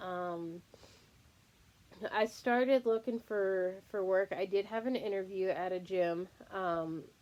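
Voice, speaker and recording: A woman's medium-pitched voice, very slow, with long, frequent pauses and fairly even intonation. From Texas. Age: 30s. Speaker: fitness vlogger. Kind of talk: casual personal vlog. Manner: hesitant, many filler words.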